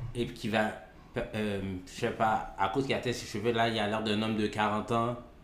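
Audible room echo colors a man's medium-pitched voice. He speaks at a moderate pace in a monotone, flat way. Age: 40s. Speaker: podcast co-host. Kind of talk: casual debate.

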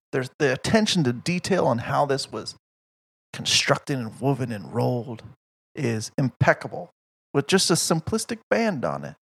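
A man's voice with lively intonation and vocal fry. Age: 30s. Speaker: podcast co-host, cigar reviewer. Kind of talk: casual chat. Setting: studio.

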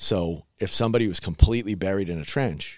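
A man with an American accent speaks at a fairly low pitch in a normal speaking voice. The recording is very clean, with a silent background. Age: 40s. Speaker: firefighter lieutenant and paramedic. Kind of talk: interview. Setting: studio.

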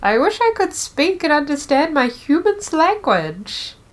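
The voice is a put-on character voice. It sits at a high pitch. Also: moderate pace.

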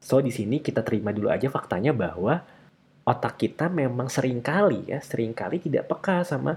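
Lively intonation marks this man's speech. His voice is somewhat breathy. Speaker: podcast host. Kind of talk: casual solo monologue on a self-help book.

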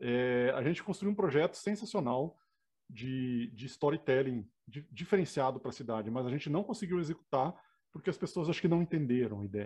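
A man with a dark, mellow, somewhat breathy tone, fairly high pitch, lively intonation, a fairly quick pace and a Rio Grande do Sul accent. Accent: gaúcho (Rio Grande do Sul) intonation. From southern Brazil (Rio Grande do Sul). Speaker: engineer and professor. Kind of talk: interview.

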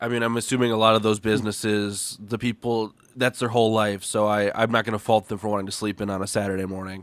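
A man rattles along at a very fast pace with hardly any pauses. His fairly low voice stays monotone and flat. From Minnesota, US. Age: 20s. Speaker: podcast guest. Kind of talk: casual chat.

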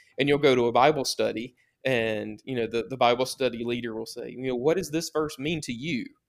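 With a Southern US accent, a man talks fairly quickly at a medium pitch with fairly even intonation. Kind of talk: podcast interview. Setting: remote call.

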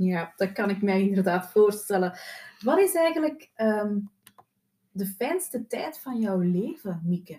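Intonation rises and falls in a lively way. Delivery is very slow. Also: woman, medium pitch for a woman. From Flanders, Belgium. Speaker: podcast host, therapist. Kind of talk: interview.

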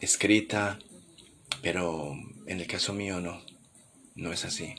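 A man is soft-spoken, in a calm tone. His voice carries a bright, sharp tone. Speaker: podcast host. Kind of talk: late-night reflective monologue. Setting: home living room at night. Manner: soft, intimate; calm, unhurried.

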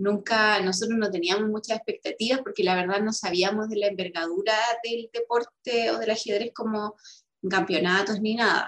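A woman's fairly high voice in a Chilean accent, with fairly even intonation. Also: moderate pace. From Chile, O'Higgins region (Rengo). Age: 30s. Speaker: constitutional convention delegate and chess player. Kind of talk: interview.

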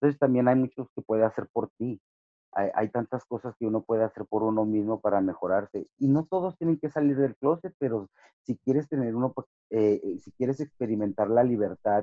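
A man talks in an ordinary speaking voice. His pitch variation is ordinary. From Ciudad Juárez / El Paso border, Chicano. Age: 50. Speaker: professional wrestler. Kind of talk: interview.

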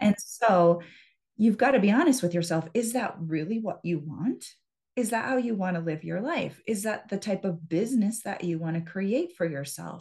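Speaking in an American accent, the woman's voice sits at a medium pitch, somewhat breathy, moving along at a moderate speed. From US Midwest, central Wisconsin. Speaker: hypnotherapist and business mindset coach. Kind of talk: interview.

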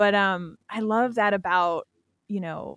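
A woman with an American accent uses a normal speaking voice at a medium pitch and a fairly slow pace, with fairly even intonation, in a dry, close sound with no echo on a very clean recording with a silent background. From Pennsylvania. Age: 30s. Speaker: podcast host. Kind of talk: casual interview chat. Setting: podcast recording.

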